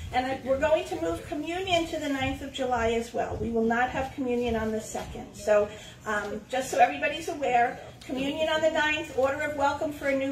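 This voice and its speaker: At a moderate pace, a woman with a high pitch and ordinary pitch variation speaks with audible room echo and light background noise. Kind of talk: church announcements. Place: church. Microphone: camera far.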